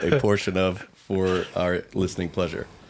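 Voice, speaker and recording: A man's fairly even intonation comes through over noticeable background noise. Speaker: podcast co-host, farm owner. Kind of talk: casual podcast chat.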